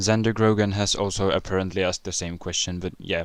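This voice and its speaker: Speaking at a fairly quick pace with a non-native accent, the voice keeps a fairly even intonation on a very clean recording with a silent background. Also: man. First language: not English. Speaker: YouTuber answering viewer questions. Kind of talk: casual Q&A video.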